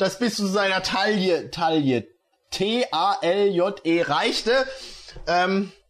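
This is plain reading aloud with ordinary pitch variation. The background is quiet.

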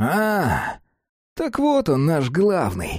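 A put-on character voice at a middle pitch, with very wide pitch swings and hissing.

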